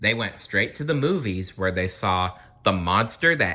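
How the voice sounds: A natural reading voice. It is heard here.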